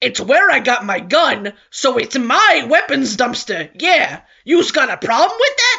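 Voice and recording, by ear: Putting on a character voice in a Brooklyn accent, a woman speaks high-pitched with very wide pitch swings at a fairly slow pace, with hardly any pauses.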